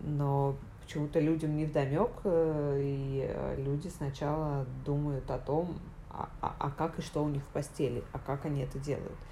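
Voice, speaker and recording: A woman speaks in a very deep, low pitch at a fairly slow pace. Her intonation is monotone and flat, and there is audible room echo. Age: 30s. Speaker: journalist. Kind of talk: casual chat. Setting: home recording.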